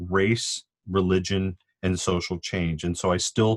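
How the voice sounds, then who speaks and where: A man with a Californian accent speaks at a fairly slow pace in a very deep, low pitch. The sound is dry and close with no echo, on a very clean recording with a silent background. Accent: Californian American English. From Southern California, Cuban family. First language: Spanish. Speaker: sociology professor. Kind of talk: podcast interview. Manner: thoughtful, with many fillers.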